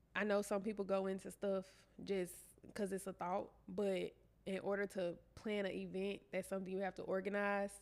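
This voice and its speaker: A woman with a Southern US accent speaks at a moderate pace and medium pitch, her intonation monotone and flat, with long, frequent pauses in a very clean recording with a silent background. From Shreveport, Louisiana. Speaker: entrepreneur, event planner. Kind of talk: interview answer.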